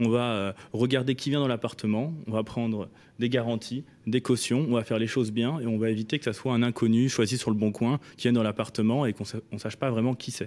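With fairly even intonation and a medium pitch, a man speaks in a normal speaking voice. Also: fairly quick pace, very clean recording, silent background. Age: 20s. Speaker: startup founder. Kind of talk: radio interview.

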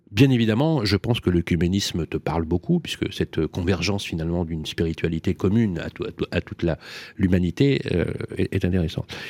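A man with a very deep, low voice and ordinary pitch variation at a fairly quick pace, in a very clean recording with a silent background and a dry, close sound with no echo. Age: older than 47. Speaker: radio host. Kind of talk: interview. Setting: studio.

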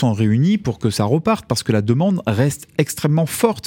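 Speaking at medium pitch, a man with a dark, mellow tone makes very wide pitch swings. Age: 40s. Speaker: company CEO. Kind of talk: radio interview. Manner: halting.

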